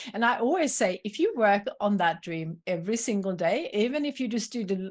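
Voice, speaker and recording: A woman with a Swedish accent talks at a moderate pace over a quiet background. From Sweden. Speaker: entrepreneur and coach. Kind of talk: podcast interview.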